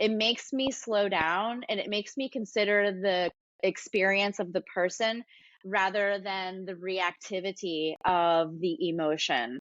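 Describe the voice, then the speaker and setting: A woman's medium-pitched voice with ordinary pitch variation, at a fairly slow pace. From US South, Atlanta area. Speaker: yoga teacher and studio owner. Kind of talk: casual interview chat. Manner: loud; exuberant, animated.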